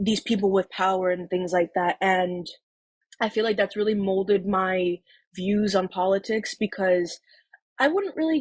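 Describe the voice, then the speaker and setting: A woman with a New York accent speaks at a moderate pace in a somewhat breathy voice, the sound dry and close with no echo. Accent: New York City. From New York City (Harlem, Manhattan). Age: 19. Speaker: makeup artist, first-time voter. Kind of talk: personal testimony interview. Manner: casual, hesitant with fillers.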